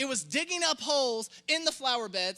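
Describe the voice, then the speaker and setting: A man speaks in a raised, projected voice with an animated tone, his pitch extremely high and his tone bright and sharp. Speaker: pastor. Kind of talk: sermon. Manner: fast.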